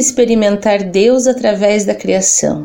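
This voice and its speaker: Noticeable background noise behind a woman's fairly slow speech, her pitch varying in an ordinary way. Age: 40s. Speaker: secular Franciscan, civil servant. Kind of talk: religious interview reflection.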